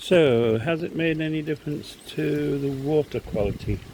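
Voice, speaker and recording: Noticeable background noise accompanies a man who talks fairly slowly. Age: 70s. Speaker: koi pond hobbyist video maker. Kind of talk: casual tutorial vlog.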